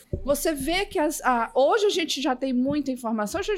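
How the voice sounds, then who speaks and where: A woman speaks at a moderate pace in a high pitch, her voice swinging very widely in pitch. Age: 40s. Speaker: technology professional. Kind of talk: casual panel discussion.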